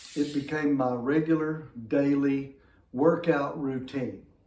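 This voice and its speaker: A man's very slow speech with a Southern US accent, fairly high pitch, fairly even intonation, and audible room echo. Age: 60s. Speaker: fitness vlogger. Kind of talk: casual talk to camera.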